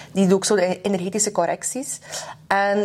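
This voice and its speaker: Over noticeable background noise, a woman speaks fairly quickly at a medium pitch with fairly even intonation. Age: 20s. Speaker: podcast host. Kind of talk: casual chat.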